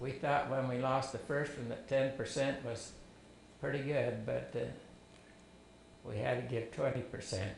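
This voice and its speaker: At a fairly slow pace and with long, frequent pauses, a man talks at a medium pitch with fairly even intonation. Noticeable background noise and audible room echo surround him. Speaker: family elder telling life story. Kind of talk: testimony.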